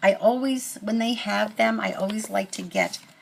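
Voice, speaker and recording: There is noticeable noise in the background. The talking unfolds fairly slowly. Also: woman. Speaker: crafting YouTuber. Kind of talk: casual show-and-tell haul video. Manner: halting, many fillers and restarts.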